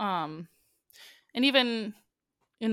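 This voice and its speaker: A woman's fairly high voice with lively intonation, dry and close with no echo, in a very clean recording with a silent background. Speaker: musical theatre performer and musician. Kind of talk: casual chat.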